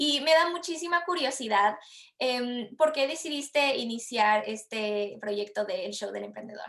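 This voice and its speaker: Her voice is high, with lively intonation and big swings in loudness. The woman speaks at a fairly slow pace. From Latin America. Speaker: podcast host, marketer. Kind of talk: podcast interview.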